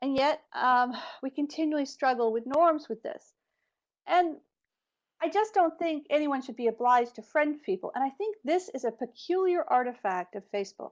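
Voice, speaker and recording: A woman with an American accent speaks at a moderate pace in a high voice. Her intonation is lively, and the background is quiet. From United States. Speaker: academic researcher on media and internet. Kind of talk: webinar presentation. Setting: online webinar. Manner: hesitant, with frequent fillers.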